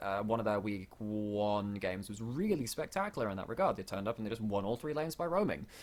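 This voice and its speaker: This man's voice sits at a fairly low pitch, with a British accent and ordinary pitch variation. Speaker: esports caster. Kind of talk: live commentary. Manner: fast.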